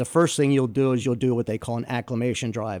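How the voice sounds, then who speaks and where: An ordinary speaking voice from a man at medium pitch, with fairly even intonation, in a very clean recording with a silent background. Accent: American. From New Jersey. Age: 60s. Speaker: driving instructor. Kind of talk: interview. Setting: studio.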